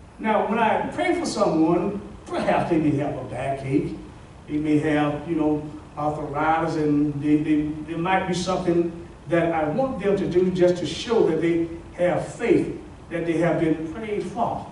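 Pitched high for a man, this speaker talks at a fairly slow pace with ordinary pitch variation, audible room echo and light background noise. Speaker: pastor. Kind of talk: sermon. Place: hall.

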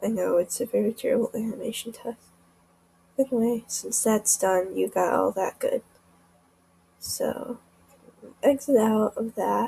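A woman talks quietly at a moderate pace. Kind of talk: casual screen-recording tutorial.

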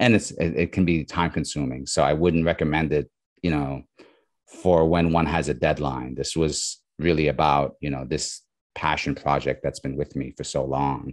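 A man speaks at a very deep, low pitch with vocal fry. His intonation is fairly even against a quiet background. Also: moderate pace. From New York. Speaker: comic artist and illustrator; comic artist. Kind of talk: interview. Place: home room. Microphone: video call.

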